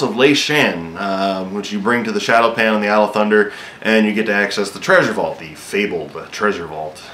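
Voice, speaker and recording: There is audible room echo and noticeable background noise as a man talks at a fairly quick pace with ordinary pitch variation. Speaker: gaming video host. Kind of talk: casual game news rundown. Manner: fast; hesitant, many fillers.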